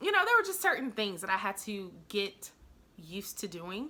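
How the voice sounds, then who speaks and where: The tone is bright and sharp. The speaker has an American accent. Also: woman. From US South, Nashville, Tennessee. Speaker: YouTube strategist and business coach. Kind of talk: tutorial.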